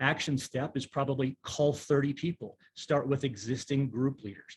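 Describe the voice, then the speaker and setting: This man's fairly high, somewhat breathy voice moves at a moderate pace with fairly even intonation, and the sound is dry and close with no echo. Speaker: pastor and leadership strategist. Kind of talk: online workshop presentation. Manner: conversational, with many fillers.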